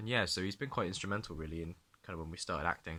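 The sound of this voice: A man's bright, sharp tone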